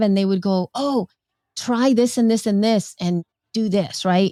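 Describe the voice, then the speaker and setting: A woman's voice comes through with a dry, close sound with no echo. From El Salvador. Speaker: podcaster. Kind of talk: interview answer.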